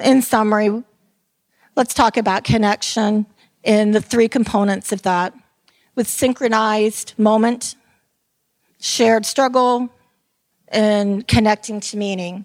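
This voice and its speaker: At a fairly slow pace with long, frequent pauses, a woman with an American accent speaks at a fairly high pitch with fairly even intonation, on a very clean recording with a silent background and a dry, close sound with no echo. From Tampa, Florida. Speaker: retired theme park entertainment director. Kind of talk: conference talk. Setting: stage with audience.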